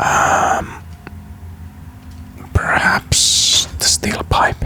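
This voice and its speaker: A man's whisper over noticeable background noise. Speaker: gaming YouTuber. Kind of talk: ASMR let's play gaming commentary. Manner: casual, hesitant, thinking aloud.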